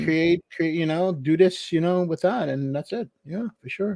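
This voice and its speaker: In a dry, close sound with no echo, a man with a New York accent speaks at a moderate pace, his high pitch carrying ordinary variation and a dark, mellow tone. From Brooklyn, New York. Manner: casual, rambling, many fillers.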